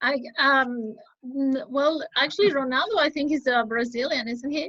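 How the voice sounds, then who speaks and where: A woman's high-pitched voice, bright and sharp in tone, with ordinary pitch variation. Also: moderate pace. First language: Spanish. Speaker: English exam candidate. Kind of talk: interview.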